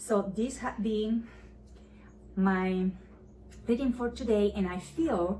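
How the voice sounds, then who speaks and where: A woman speaks very slowly. She has a Spanish accent. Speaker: YouTuber practicing English by reading scripture. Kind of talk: casual commentary to camera; reading aloud. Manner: deliberate, careful articulation.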